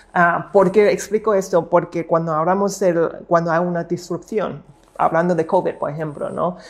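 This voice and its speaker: A woman's fairly low voice holds a monotone, flat intonation while she talks at a moderate pace. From Hong Kong and Macau. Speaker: futurist and entrepreneur. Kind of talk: interview. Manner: halting, with many fillers and repetitions.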